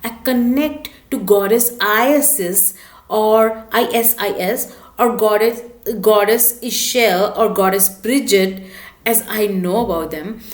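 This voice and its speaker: Audible room echo surrounds a woman speaking at a very slow pace in a fairly high voice. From India. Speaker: spiritual vlogger. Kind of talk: casual talk to camera.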